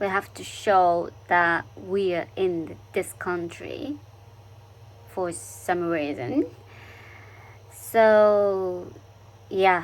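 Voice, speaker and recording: A woman speaks with a Japanese accent. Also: very clean recording, silent background. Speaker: international student vlogger. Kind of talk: casual vlog monologue. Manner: halting, many fillers.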